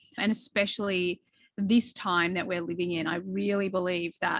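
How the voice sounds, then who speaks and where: Speaking with an Australian accent, a woman uses a medium pitch at a moderate pace. The sound is dry and close, with no echo. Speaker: behavioral coach. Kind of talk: podcast interview.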